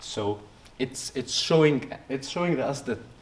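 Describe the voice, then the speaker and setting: A man talks at a moderate pace. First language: Arabic. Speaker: researcher. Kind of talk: poster presentation interview. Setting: conference poster session. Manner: halting, many fillers and restarts.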